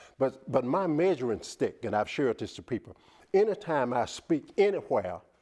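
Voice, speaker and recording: A man with a Southern US accent, a fairly high pitch and a dark, mellow tone, very wide pitch swings, a moderate pace, and a quiet background. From US South. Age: 60s. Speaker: motivational speaker. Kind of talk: TV interview; testimony. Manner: preacher-like.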